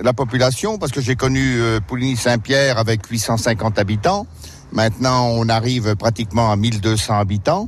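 A man speaks at very even loudness with ordinary pitch variation. Noticeable noise sits in the background. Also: medium pitch for a man, moderate pace. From France, Berry (Indre). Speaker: village mayor, retired farmer. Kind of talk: radio interview on a walking tour. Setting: outdoors, walking through the village. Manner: hesitant, many fillers.

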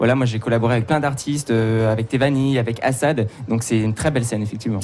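A man talking at a very fast pace with fairly even intonation over noticeable background noise. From Touraine, France. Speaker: singer. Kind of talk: radio interview. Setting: studio with live audience.

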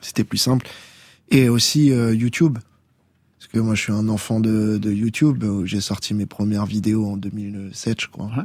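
An ordinary speaking voice from a man, fairly low in pitch and fairly slow, with fairly even intonation, big swings in loudness and a very clean recording with a silent background. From Tours, France. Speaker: reggae musician. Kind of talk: radio interview. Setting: radio studio.

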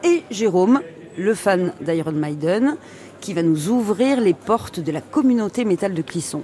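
Over noticeable background noise, a woman speaks at a medium pitch and a fairly slow pace with lively intonation. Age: 40s. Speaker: radio reporter. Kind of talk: radio documentary narration and street interviews. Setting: outdoor market.

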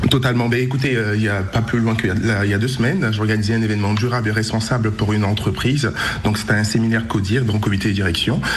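A man talks at a very fast pace and medium pitch, with fairly even intonation and very even loudness. Audible room echo and noticeable background noise surround him. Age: 20s. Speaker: event organizer. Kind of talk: radio interview. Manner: halting, many repetitions and fillers.

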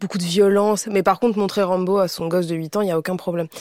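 With a normal speaking voice, a woman talks at a medium pitch with fairly even intonation, and the sound is dry and close with no echo. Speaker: content creator. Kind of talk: casual panel discussion.

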